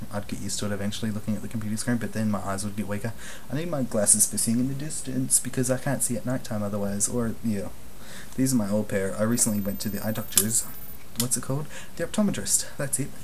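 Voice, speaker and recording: Over light background noise, a man talks at a very fast pace with a fairly low pitch and ordinary pitch variation. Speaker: vlogger. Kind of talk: casual vlog monologue. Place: home room. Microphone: webcam.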